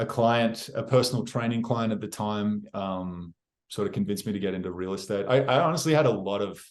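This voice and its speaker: With an Australian accent, a man talks at a fairly quick pace and a fairly low pitch. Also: ordinary pitch variation, quiet background. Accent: Australian accent, noticeable to others. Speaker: real estate agent. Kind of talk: interview. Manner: casual, with many fillers and restarts.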